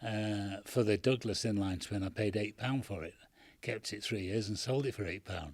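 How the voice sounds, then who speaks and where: On a very clean recording with a silent background, a man speaks at a moderate pace and a fairly low pitch, somewhat breathy, with ordinary pitch variation. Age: 80s+. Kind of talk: interview answer.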